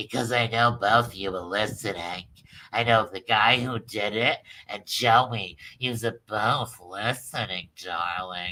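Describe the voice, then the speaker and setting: A man puts on a nasal character voice at a medium pitch. He speaks at a fairly slow pace with fairly even intonation. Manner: mocking, deviant-sounding.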